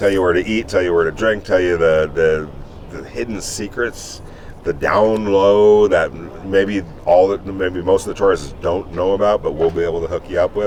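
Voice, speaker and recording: With an American accent, a man talks at a moderate pace over noticeable background noise. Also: fairly low pitch for a man, fairly even intonation. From New York. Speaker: sports journalist and podcast co-host. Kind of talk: casual chat.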